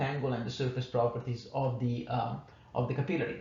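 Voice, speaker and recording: A man with an Italian accent is heard with audible room echo and noticeable background noise. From Italy. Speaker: engineering manager giving a technical talk. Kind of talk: conference lecture. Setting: conference workshop. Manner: halting, many fillers.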